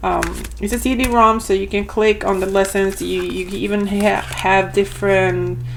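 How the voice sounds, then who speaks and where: In a room with audible echo and noticeable background noise, a woman speaks at a fairly slow pace with hardly any pauses. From Argentina. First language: Spanish. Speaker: homeschooling parent and vlogger. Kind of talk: product review. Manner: casual, hesitant with fillers.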